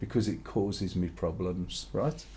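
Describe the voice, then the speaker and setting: A man's voice with vocal fry, a dark, mellow tone and a moderate pace. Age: 60s. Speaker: streamer. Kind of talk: casual chat.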